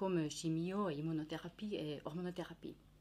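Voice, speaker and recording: A woman with a Finnish accent at a fairly slow pace, in a very clean recording with a silent background. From Finland. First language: Finnish (speaking French). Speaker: nutritionist. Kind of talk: educational talk. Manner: halting, many hesitations.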